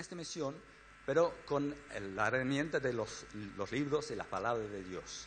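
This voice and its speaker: In a room with audible echo, a man with a fairly high voice speaks at a fairly slow pace with lively intonation. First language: English (speaking Spanish). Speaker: missionary organization director. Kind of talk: church talk. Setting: church. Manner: halting.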